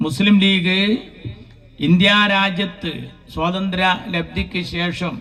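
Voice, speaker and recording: The man's voice sits at a high pitch. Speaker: political orator, comedy speaker for a political party. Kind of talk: rally speech, humorous political oratory to a crowd. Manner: witty, rhetorical, rhyming phrases.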